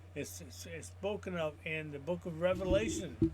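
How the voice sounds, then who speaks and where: A man speaks with a fairly high pitch and a somewhat breathy voice. His pitch swings very widely. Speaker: Bible teacher. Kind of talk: teaching. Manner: halting.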